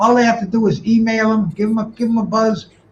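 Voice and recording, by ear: Speaking fast at a high pitch, a man keeps his intonation fairly even.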